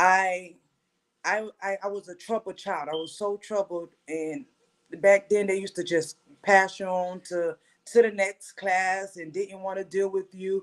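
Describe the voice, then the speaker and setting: In a normal speaking voice, a woman talks fairly slowly at a medium pitch with fairly even intonation, the sound dry and close with no echo. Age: 40s. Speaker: HIV and mental health advocate. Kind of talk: testimony. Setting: livestreamed podcast.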